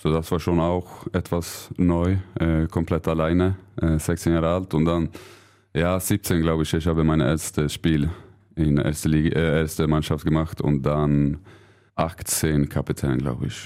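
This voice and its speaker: In a Swedish accent, the speaker talks at a fairly slow pace with a dark, mellow tone, monotone, flat intonation and very even loudness on a very clean recording with a silent background. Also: man, very deep, low pitch for a man. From Sweden. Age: 30s. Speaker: handball player. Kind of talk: interview.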